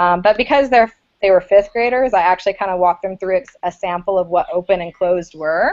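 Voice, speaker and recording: A woman's medium-pitched voice rushes along at a very fast pace, with ordinary pitch variation. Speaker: teacher presenting a classroom lesson. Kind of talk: informal lesson presentation.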